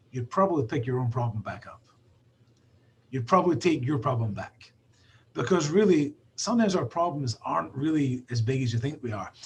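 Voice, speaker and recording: A man with a Scottish accent, medium-pitched and somewhat breathy, with lively intonation at a fairly quick pace. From Scotland. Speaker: basketball trainer. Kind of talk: casual chat.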